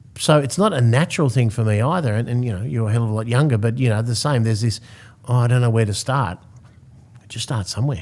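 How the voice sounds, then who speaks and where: Speaking very fast with an Australian accent, a man keeps a medium pitch and ordinary pitch variation on a very clean recording with a silent background. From Australia (Sydney). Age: 60s. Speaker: real estate agency founder and CEO. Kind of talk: podcast interview.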